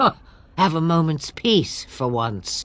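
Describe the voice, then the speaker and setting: In a put-on character voice, the speaker uses a middle pitch and a fairly slow pace. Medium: video game. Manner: archaic, sardonic.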